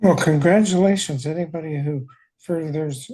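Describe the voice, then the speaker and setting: The man's voice sits fairly high in pitch, with a dark, mellow tone. It is somewhat breathy, and the background is quiet. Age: 70s. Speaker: podcast host, former college teacher. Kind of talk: casual interview.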